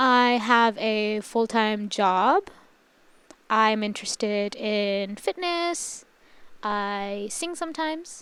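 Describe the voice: A woman speaks very slowly in a fairly high voice with a clear, smooth, fairly bright tone.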